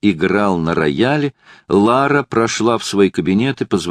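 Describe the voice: Lively intonation over plain reading aloud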